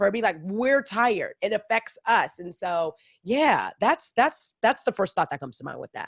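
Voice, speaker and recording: A woman's vocal fry with very wide pitch swings and big swings in loudness, dry and close with no echo, quiet background. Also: fairly high pitch for a woman, moderate pace. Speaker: podcast host. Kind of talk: casual interview chat.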